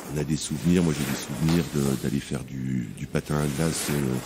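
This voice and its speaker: The speaker talks at a moderate pace. Noticeable background noise runs underneath. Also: man. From France, Savoie (Tarentaise valley). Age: 40s. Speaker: chef. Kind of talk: interview testimony. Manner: hesitant, many fillers; blunt, plain-spoken.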